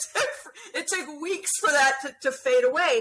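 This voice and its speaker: A woman speaks at a moderate pace in a raised, projected voice with an animated tone. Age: 60s. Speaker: skin cancer patient sharing her story. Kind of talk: casual interview chat.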